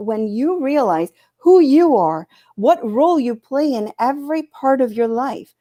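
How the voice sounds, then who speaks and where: A woman with an American accent speaks in a high voice with a dark, mellow tone. Her pace is fairly slow and her intonation lively. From US Midwest, Chicago. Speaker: life coach. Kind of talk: panel interview, describing her work.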